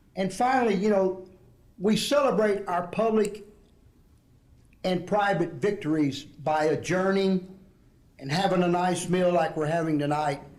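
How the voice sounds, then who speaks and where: With audible room echo, a man speaks at a high pitch and a fairly slow pace, with ordinary pitch variation and long, frequent pauses. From Southeast Texas (Port Arthur), Mexican-American family. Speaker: retired ESL program director, keynote speaker. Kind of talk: keynote speech. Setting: conference dinner with audience.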